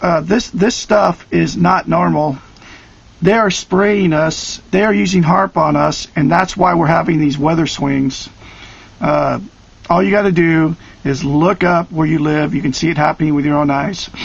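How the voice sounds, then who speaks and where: Someone with an American accent speaks at a moderate pace and very even loudness, with noticeable background noise behind the voice. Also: man, fairly high pitch for a man, ordinary pitch variation. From US West Coast (Oregon). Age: 50s. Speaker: conspiracy video blogger. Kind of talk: direct-to-camera vlog. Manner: hesitant with many fillers.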